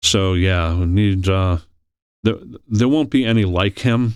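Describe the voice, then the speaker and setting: With an American accent, a man in a plain, everyday voice speaks at a moderate pace with a fairly low pitch and ordinary pitch variation on a very clean recording with a silent background. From New York City, Queens. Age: 60s. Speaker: state politician. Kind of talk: podcast interview.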